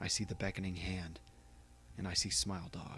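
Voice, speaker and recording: There is music in the background. Over it, a man talks at a fairly quick pace. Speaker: creepypasta narrator. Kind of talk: creepypasta reading, horror story narration.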